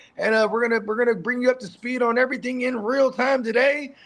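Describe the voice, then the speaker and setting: A man talks very fast at an extremely high pitch. Noticeable background noise sits behind him. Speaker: fantasy football show host. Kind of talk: casual live show banter. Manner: halting, frequent stammering and fillers.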